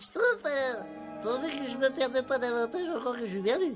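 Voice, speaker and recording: A cartoonish character voice speaks at a fairly quick pace. Clear music plays in the background. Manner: folksy, dopey.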